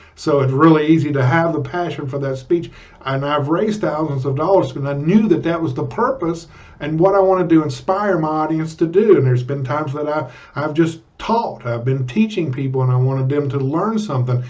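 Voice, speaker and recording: Room echo is audible around the voice. A man talks fairly quickly. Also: fairly high pitch for a man, ordinary pitch variation. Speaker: public speaking coach. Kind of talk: vlog tutorial. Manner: animated; loud.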